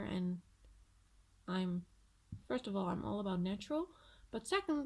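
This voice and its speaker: A woman speaks in a somewhat breathy voice. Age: 20s. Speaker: vlogger. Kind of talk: casual vlog. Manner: hesitant, with filler words.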